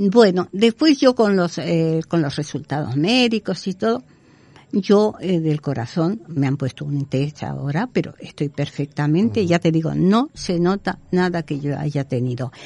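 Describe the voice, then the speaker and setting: Using lively intonation at a fairly slow pace, a woman speaks with a fairly low pitch and a dark, mellow tone. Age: 70s. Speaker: psychic medium and healer. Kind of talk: interview. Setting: studio.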